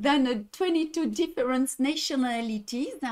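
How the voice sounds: In a high, slightly mellow voice with lively intonation, a woman talks at a fairly slow pace.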